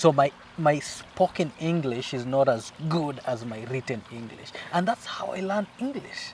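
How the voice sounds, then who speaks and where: A man at a fairly high pitch, with lively intonation, big swings in loudness and a moderate pace, over noticeable background noise. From Kenya. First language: Swahili or local Kenyan language. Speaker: co-host of family channel. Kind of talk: casual chat. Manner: halting, repetitive.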